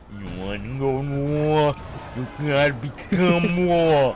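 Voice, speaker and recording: A man mumbles in a put-on character voice, fairly high and strained, at a fairly slow pace. Background noise is clear throughout. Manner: strained mumbling.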